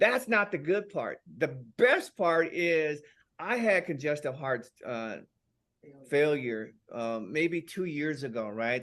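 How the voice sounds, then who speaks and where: Behind the voice, things are quiet. Delivery is on the fairly slow side. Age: 60s. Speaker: product user giving testimonial. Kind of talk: testimony. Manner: halting.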